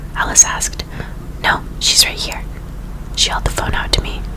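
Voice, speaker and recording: A woman with an American accent whispers at a moderate pace over noticeable background noise. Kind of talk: audiobook reading. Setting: with ambient sound effects. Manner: whispered.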